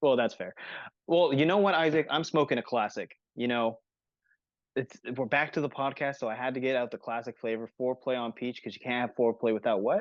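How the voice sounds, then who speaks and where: A man speaks with an ordinary speaking voice at a fairly quick pace. His pitch is medium, with ordinary pitch variation. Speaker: podcast host. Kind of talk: casual chat. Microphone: poor bandwidth connection.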